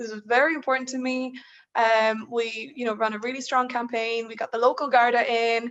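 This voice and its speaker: Fairly quick, flat, monotone speech from a woman in an Irish accent, high in pitch, with big swings in loudness. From Ireland, raised from childhood by Polish parents. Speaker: student union leader, panelist. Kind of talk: panel discussion. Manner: hesitant, many repeated words.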